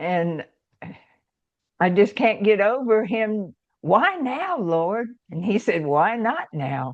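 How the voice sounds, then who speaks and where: A woman in a Georgia accent speaks at a medium pitch with very wide pitch swings, at a very slow pace broken by long, frequent pauses. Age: 70s. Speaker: speaker and author. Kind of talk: testimony.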